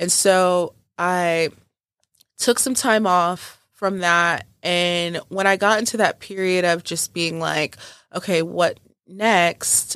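A woman speaks at a very slow pace with a fairly low pitch. Her intonation stays fairly even on a very clean recording with a silent background. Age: 30s. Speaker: podcast host. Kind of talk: casual monologue.

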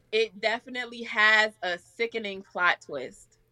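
The voice has a bright, sharp tone and a New York accent, speaking at a very slow pace. The sound is dry and close, with no echo. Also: woman. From Staten Island, New York. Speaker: rapper and music artist. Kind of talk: casual interview.

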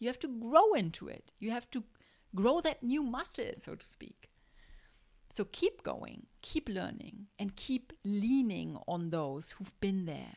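A woman speaks very slowly at a fairly high pitch, with vocal fry, very wide pitch swings, and big swings in loudness. The recording is very clean, with a silent background. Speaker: podcast host, life coach for moms. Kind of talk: solo motivational podcast monologue.

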